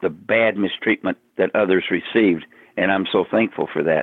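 A man with an American accent speaks at a moderate pace, with ordinary pitch variation. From southern Oklahoma. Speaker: Navy veteran, veterans club organizer. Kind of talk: interview, casual chat. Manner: halting.

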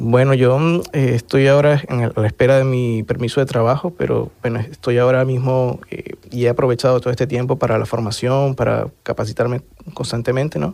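In a Venezuelan accent, a man speaks at a fairly quick pace and medium pitch. His tone is dark and mellow, his intonation fairly even. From Venezuela (Caracas). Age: 30s. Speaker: asylum seeker, lawyer. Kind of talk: testimony.

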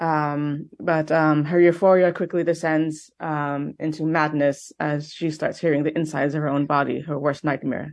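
A woman's very deep, low voice in a monotone, flat intonation at a moderate pace against a quiet background. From Quebec, Montreal. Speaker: film director. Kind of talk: interview.

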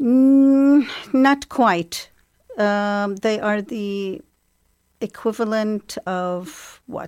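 A woman at a fairly high pitch with an Arabic accent, at a very slow pace. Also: ordinary pitch variation. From Iraq (Baghdad), born in England. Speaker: Arabic language lecturer. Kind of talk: interview. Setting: studio. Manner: hesitant, with frequent fillers.

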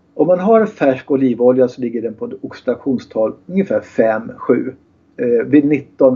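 A man's normal speaking voice at medium pitch, moderate pace, and ordinary pitch variation. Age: 60s. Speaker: kinesiologist and therapist. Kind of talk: interview.

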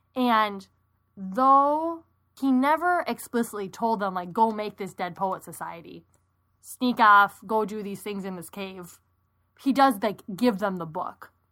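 Enthusiastic and bright with a sharp tone, a woman at a medium pitch speaks at a fairly slow pace, her loudness swinging widely. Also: lively intonation, very clean recording, silent background. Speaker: podcast co-host, teacher. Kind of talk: casual conversational review, chatty. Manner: enthusiastic, gushing, filler-heavy ('like').

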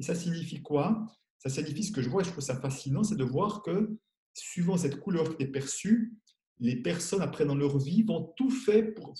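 This man has a high pitch and a dark, mellow tone. His intonation is lively and his pace moderate. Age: 60s. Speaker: money coach and author. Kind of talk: interview.

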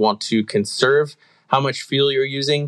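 Over a quiet background, a man with an American accent speaks at a moderate pace and a medium pitch. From Southern California, US. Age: 40s. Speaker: race car driver. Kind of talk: casual interview chat.

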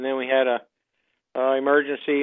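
Speaking very fast, a man keeps his voice at a medium pitch. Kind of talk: casual chat.

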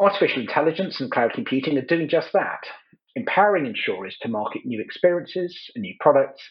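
A man talks at a very fast pace in a fairly high voice. His pitch swings very widely, with vocal fry. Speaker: journalist and panel moderator. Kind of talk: moderated webinar panel. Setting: video call.

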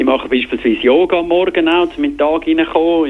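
A man with a Graubünden accent at a fairly quick pace, amid noticeable background noise. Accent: Bündner dialect. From Switzerland, Graubünden (Davos). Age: 40s. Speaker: TV sports presenter. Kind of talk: interview. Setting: phone call.

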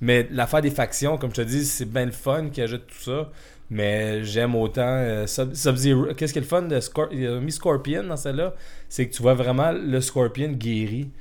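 Speaking fairly slowly, a man keeps a medium pitch that varies in an ordinary way. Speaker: podcast co-host. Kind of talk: casual chat.

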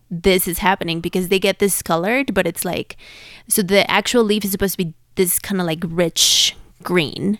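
A woman with a Spanish accent talks at a moderate pace with fairly even intonation. The sound is dry and close with no echo, on a very clean recording with a silent background. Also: medium pitch for a woman. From Mexico City. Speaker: podcast guest, plant enthusiast. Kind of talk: casual chat.

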